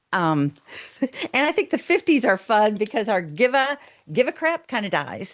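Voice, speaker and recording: Against a quiet background, a woman speaks with an animated tone, vocal fry, a fairly high pitch and very wide pitch swings. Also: moderate pace, dry, close sound with no echo. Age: 60s. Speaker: psychotherapist and author. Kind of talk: interview conversation.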